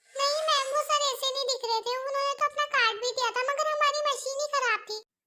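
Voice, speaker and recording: A woman's put-on character voice, extremely high in pitch, very fast in pace, with fairly even intonation. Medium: fan dub.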